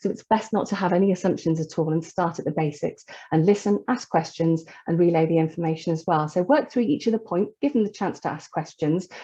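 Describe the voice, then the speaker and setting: A somewhat breathy, dark, mellow tone at a very fast pace, with lively intonation. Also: woman, fairly low pitch for a woman. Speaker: charity staff presenter. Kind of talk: webinar presentation. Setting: online webinar.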